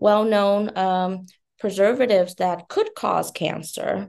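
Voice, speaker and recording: A woman's dark, mellow tone in a Vietnamese accent, over a quiet background. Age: 20s. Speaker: beauty company founder. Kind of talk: interview.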